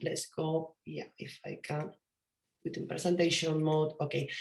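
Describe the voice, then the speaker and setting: With a strong Spanish accent, a woman talks at a fairly slow pace. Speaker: event co-host. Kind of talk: online event closing address.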